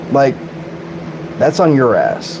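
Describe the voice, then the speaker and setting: A man's fairly high voice moves at a moderate pace, with noticeable noise behind it. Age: 40s. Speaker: streamer. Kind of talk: live-stream rant. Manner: animated.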